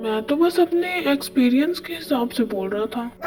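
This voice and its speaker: A woman uses a put-on character voice, high-pitched with very wide pitch swings. She speaks at a fairly quick pace with clear music in the background. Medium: fan dub.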